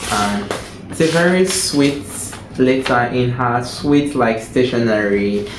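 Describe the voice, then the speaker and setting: A man at medium pitch and a fairly slow pace, amid audible room echo and noticeable background noise. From Nigeria. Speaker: book reviewer. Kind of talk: casual chat.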